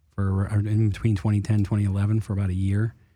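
With an American accent, a man speaks quickly-ish at a fairly low pitch in a dark, mellow tone, keeping a fairly quick pace. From US East Coast. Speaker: cannabis cultivator. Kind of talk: casual chat.

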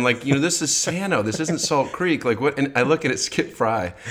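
A man with an American accent talks at a very fast pace. His intonation is lively. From US Midwest. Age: 40s. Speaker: podcast host. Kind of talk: casual chat.

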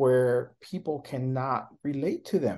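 Over a quiet background, a man with a slight non-native accent speaks very slowly, his fairly high pitch showing ordinary variation and a dark, mellow tone. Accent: slight foreign. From born abroad, raised in US from early age. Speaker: leadership coach and professor. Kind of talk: interview conversation. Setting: remote call. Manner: hesitant, many fillers.

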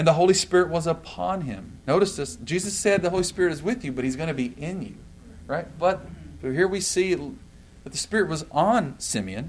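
Animated, high-pitched man with lively intonation, fairly quick pace and audible room echo. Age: 40s. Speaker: pastor. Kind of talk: sermon.

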